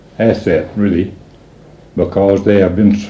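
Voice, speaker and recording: Someone speaks with a West Texas accent amid audible room echo. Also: man. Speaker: parent of a late singer. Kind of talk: message to listeners. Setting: own home. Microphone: old amateur recording, poor quality.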